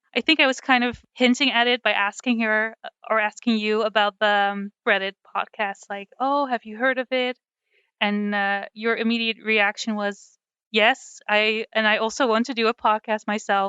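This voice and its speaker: In a fairly high pitch, a woman speaks at a moderate pace with monotone, flat intonation. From Netherlands. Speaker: podcast co-host. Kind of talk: casual chat.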